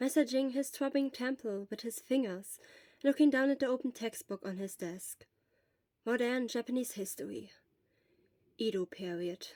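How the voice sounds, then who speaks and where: A woman's high-pitched voice with a non-native accent, at a moderate pace, in a dry, close sound with no echo. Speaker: fan fiction narrator. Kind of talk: reading aloud; casual chat. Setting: quiet room.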